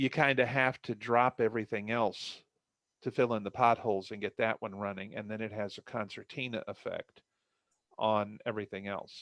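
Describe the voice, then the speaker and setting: An ordinary speaking voice with fairly even intonation against a quiet background. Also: man, medium pitch for a man, moderate pace, dry, close sound with no echo. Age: 60s. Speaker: novelist. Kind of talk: casual chat.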